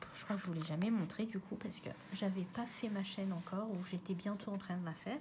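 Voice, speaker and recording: Her pitch medium and her intonation fairly even, a woman speaks at a fairly quick pace. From Réunion. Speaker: colouring hobbyist youtuber. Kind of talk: casual chat. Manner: halting.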